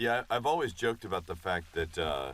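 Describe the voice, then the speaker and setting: The voice has vocal fry and moves at a fairly quick pace. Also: man. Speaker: voice actor. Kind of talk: audio commentary.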